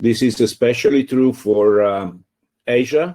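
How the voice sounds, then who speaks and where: A man with an Italian accent speaks at a fairly slow pace in a dark, mellow tone with fairly even intonation against a quiet background. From Italy. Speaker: free software community organizer. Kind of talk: panel discussion. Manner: halting.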